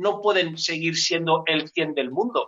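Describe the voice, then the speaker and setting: A man is speaking here. His intonation is fairly even. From Enguera, Valencia region, Spain. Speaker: amateur cyclist, former basketball player. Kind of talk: casual chat.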